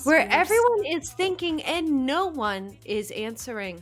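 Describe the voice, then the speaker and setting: Doing a put-on character voice, a woman speaks nasally at a fairly slow pace, her high pitch making very wide swings. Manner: nasal, formal inflection.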